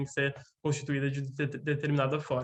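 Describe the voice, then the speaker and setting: Speaking at a fairly quick pace, the man has a fairly high pitch. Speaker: lecturer on gender and psychoanalysis. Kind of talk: lecture. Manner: fast; animated.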